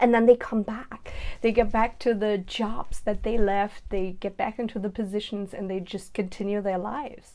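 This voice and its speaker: At a moderate pace with hardly any pauses, a woman talks in a dark, mellow tone with fairly even intonation, recorded very cleanly over a silent background. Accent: German. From Germany. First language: German. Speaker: mom blogger. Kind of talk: personal vlog.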